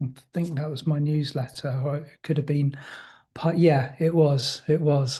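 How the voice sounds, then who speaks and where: A man speaks with a dark, mellow tone at a fairly high pitch, somewhat breathy. His intonation is monotone, flat, and his pace is moderate. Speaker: spiritual teacher. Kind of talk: casual conversation.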